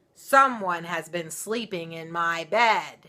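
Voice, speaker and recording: Slowly and in a fairly low pitch, a woman puts on a raspy character voice. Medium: read story. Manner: gruff, grumbling.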